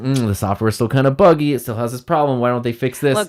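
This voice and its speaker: A put-on, whiny character voice from a man at medium pitch, rattled off at a very fast pace. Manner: whiny, mocking.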